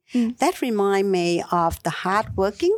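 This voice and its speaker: In a Vietnamese accent, a woman talks at a moderate pace with ordinary pitch variation on a very clean recording with a silent background. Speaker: local councillor. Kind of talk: interview. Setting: studio. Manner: halting.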